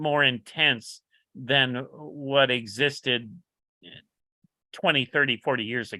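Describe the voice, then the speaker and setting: Very slow in pace, a man with an American accent speaks at a medium pitch with fairly even intonation. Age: 70s. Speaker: motorcycle builder. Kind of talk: casual interview chat. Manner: halting, many fillers.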